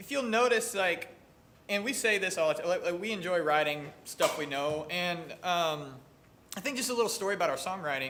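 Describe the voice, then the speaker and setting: Bright and sharp in tone, a man with a high pitch talks at a fairly quick pace with lively intonation and audible room echo. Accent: American. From US South, southeast Missouri. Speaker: country musician. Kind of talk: casual interview chat. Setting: newsroom live session.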